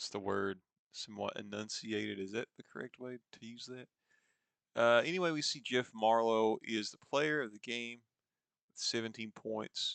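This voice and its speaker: In a slight Eastern Kentucky accent, a man speaks at a moderate pace and medium pitch with ordinary pitch variation and big swings in loudness. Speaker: sports video game commentator. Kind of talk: gameplay commentary. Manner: casual, conversational.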